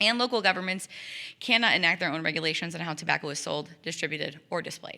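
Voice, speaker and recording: A woman speaks loudly at a very fast pace, her tone bright and sharp. Her pitch is medium with ordinary variation, on a very clean recording with a silent background. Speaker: tobacco prevention coalition coordinator. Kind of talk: public presentation.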